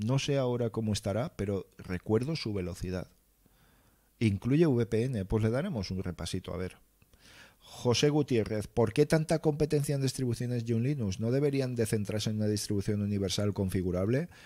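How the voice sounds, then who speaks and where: A man speaks at a medium pitch in a dark, mellow tone, at a moderate pace with ordinary pitch variation, on a very clean recording with a silent background. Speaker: livestream host, tech content creator. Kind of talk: casual livestream chat reading viewer comments. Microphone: close mic, near clipping.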